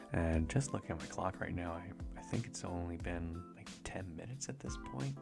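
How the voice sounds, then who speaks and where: Music plays in the background as a man speaks at a moderate pace. His voice is very deep and low, with a relaxed tone. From Canada, Vancouver Island. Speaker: artist and content creator. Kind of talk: casual rambling talk to camera. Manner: soft, relaxed, rambling.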